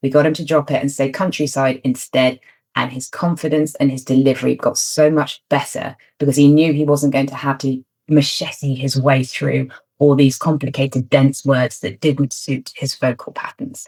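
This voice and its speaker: Speaking at a moderate pace, a woman with a British accent uses a very deep, low pitch and a monotone, flat intonation. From Britain. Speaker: media trainer. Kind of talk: tutorial.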